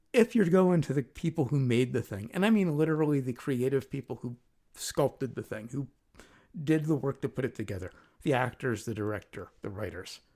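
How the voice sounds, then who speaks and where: Soft-spoken and lively in intonation, a man talks at a fairly quick pace with a medium pitch and a dark, mellow tone. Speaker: podcast host and musician. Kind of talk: casual chat. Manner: hesitant, many ums.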